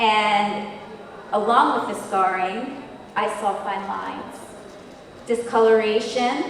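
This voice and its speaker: A woman speaks at a fairly high pitch and a very slow pace. Audible room echo and noticeable background noise surround her. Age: 60s. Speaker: esthetician. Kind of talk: conference panel discussion. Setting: stage with audience.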